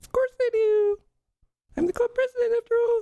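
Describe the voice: A woman's put-on character voice, squeaky and extremely high, with fairly even intonation and a dry, close sound with no echo. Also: moderate pace.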